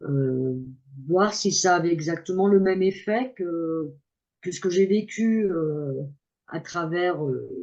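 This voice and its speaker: A woman's fairly low, dark and mellow voice at a very slow pace, with ordinary pitch variation and long, frequent pauses. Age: 60s. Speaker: coaching client giving testimonial. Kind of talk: testimony. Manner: halting.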